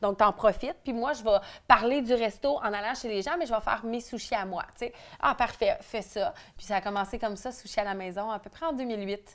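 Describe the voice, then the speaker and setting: A woman with a Quebec accent at a moderate pace, fairly high in pitch with ordinary variation, her loudness swinging widely. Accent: Québécois French. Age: 30s. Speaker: entrepreneur; interviewee. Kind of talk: interview. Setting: at the host's home. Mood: candid, personal, animated. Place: home room.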